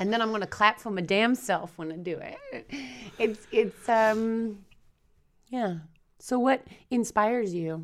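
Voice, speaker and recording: A woman speaks at a fairly high pitch in an animated tone, with big swings in loudness. Her pace is fairly slow, with long, frequent pauses. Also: ordinary pitch variation. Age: 30s. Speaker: podcast co-host, fitness and wellness coach. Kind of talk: casual chat. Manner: animated, laughs often.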